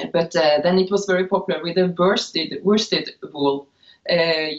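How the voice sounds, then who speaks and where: This woman has a Norwegian accent and a fairly low pitch. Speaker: knitwear designer. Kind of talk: interview. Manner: halting, many filler uhs.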